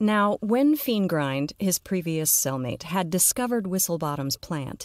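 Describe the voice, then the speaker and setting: A woman with an ordinary speaking voice, fairly low in pitch, at a fairly slow pace with lively intonation, in a very clean recording with a silent background and a dry, close sound with no echo. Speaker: audio fiction narrator and podcast host. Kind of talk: literary audiobook reading of a dark comic fantasy story, narrated with character voices.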